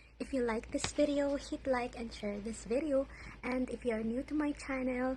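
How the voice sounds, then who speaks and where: Her pitch is high. This woman keeps a moderate pace with flat, monotone intonation. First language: Cebuano (Bisaya). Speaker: vlogger. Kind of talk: vlog outro.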